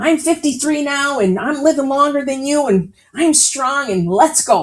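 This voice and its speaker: A woman with an American accent, high pitch, an animated tone and lively intonation at a moderate pace. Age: 60s. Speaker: author and healthcare leader. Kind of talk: interview storytelling.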